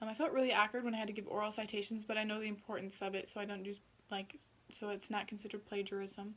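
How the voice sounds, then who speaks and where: A woman at a medium pitch talks at a very fast pace in a flat, monotone delivery. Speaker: student. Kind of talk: spoken self-reflection for a class assignment. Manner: many fillers (um, like); tends to speak fast.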